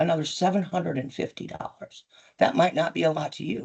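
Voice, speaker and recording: A woman's very deep, low voice with vocal fry, lively intonation and a fairly quick pace. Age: 60s. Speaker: business owner at licensing hearing. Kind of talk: testimony. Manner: animated.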